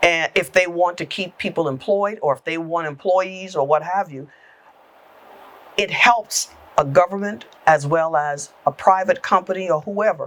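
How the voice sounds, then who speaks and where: A woman's fairly low-pitched, unremarkable speaking voice with an American accent, moderate in pace and with ordinary pitch variation. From South Carolina Lowcountry (Awendaw). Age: 60s. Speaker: government agency executive director. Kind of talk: podcast interview.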